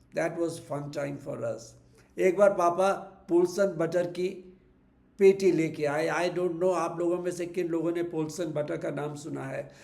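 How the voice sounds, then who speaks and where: A high-pitched man with fairly even intonation, amid audible room echo. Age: 70s. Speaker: vlogger sharing memories. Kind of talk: personal reminiscence monologue. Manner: reflective, with hesitations.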